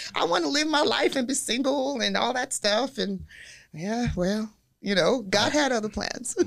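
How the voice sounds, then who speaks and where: With vocal fry and a fairly high pitch, a woman speaks at a moderate pace. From Nigeria. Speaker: real estate broker. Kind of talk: casual chat.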